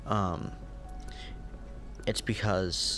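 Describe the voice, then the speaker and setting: Loud music plays in the background. The sound is dry with no echo. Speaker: gaming YouTuber. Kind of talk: casual channel update voice-over.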